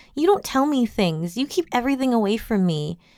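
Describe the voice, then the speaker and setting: A female-sounding, whiny put-on character voice, fairly high in pitch, moves at a fairly quick pace with very wide pitch swings. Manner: whiny, accusatory.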